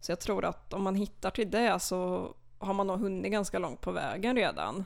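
Using a medium pitch with vocal fry, a woman speaks at a moderate pace with fairly even intonation. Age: 20s. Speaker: literature student, literary society chair. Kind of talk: casual interview. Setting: podcast studio.

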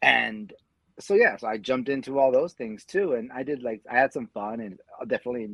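A man speaks at a fairly quick pace with a medium pitch. He has a plain, everyday voice. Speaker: mma fan and former bicycle racer. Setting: video call.

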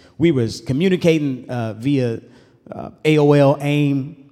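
Over music in the background, a man talks in an animated tone at a medium pitch with ordinary pitch variation. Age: 30s. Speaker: pastor. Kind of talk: sermon.

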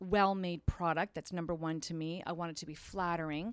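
A woman speaks at a fairly quick pace. Her pitch is fairly low. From Ontario, Canada. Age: 50s. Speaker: clothing designer. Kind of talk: casual chat. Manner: animated.

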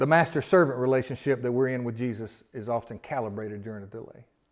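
A man talks at a fairly quick pace with a Southern US accent. His pitch sits in the medium range. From US South. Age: 50s. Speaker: pastor. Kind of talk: sermon. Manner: animated.

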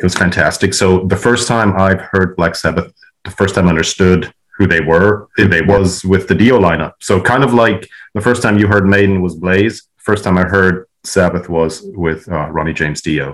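This man's pitch is very deep and low. He speaks at a moderate pace. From Switzerland. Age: 40s. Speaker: metal fan. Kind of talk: recorded personal story.

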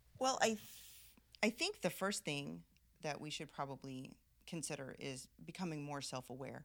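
This woman has a very deep, low pitch, vocal fry and lively intonation. She moves at a moderate pace, broken by long, frequent pauses. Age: 50s. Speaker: ordained minister. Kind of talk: casual interview chat.

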